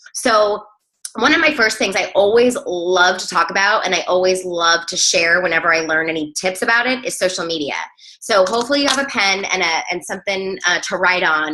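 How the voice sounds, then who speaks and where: A woman with a medium pitch speaks at a fairly quick pace with lively intonation. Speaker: fitness coach team leader. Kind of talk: team training call. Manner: fast; casual, energetic.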